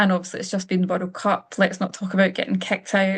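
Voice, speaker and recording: Against a quiet background, a woman with a Scottish accent speaks at a medium pitch, somewhat breathy and monotone, her intonation flat. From Scotland. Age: 30s. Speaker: finance coach. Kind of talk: webinar presentation. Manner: casual, with frequent fillers.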